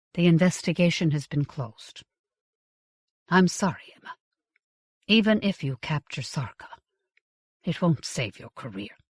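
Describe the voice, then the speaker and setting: A woman puts on a strained character voice at a fairly low pitch, with very wide pitch swings and big swings in loudness. She keeps a moderate pace but leaves long, frequent pauses. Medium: read story. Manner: cold, restrained.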